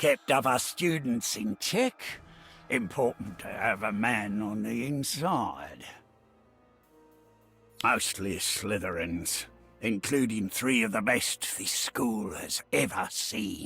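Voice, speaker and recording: Putting on a raspy character voice at a medium pitch, a man speaks at a fairly slow pace with lively intonation and long, frequent pauses, faint music playing in the background. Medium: video game. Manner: gruff, grumbling.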